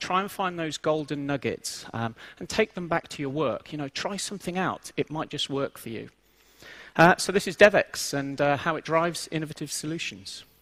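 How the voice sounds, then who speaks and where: A man with an English accent and a fairly high pitch speaks at a moderate pace with ordinary pitch variation. The recording is very clean with a silent background, dry and close with no echo. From England. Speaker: IT transformation lead, conference speaker. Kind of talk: conference talk. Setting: stage with audience.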